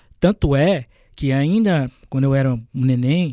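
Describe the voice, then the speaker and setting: A man delivers lively intonation at a fairly slow pace, recorded very cleanly against a silent background. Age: 20s. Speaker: journalist. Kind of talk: podcast interview. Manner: hesitant, with fillers and stumbles.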